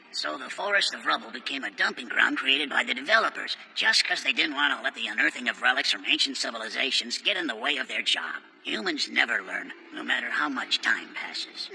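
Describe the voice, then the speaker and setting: Putting on a character voice at a fairly high pitch, a man rattles on with hardly any pauses over clear background noise. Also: fairly quick pace. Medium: fan dub. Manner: casual, blunt.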